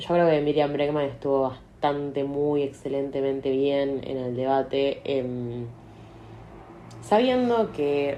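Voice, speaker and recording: A woman speaks with a very deep, low pitch and fairly even intonation. Her fairly slow delivery carries audible room echo. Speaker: podcaster. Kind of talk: casual monologue.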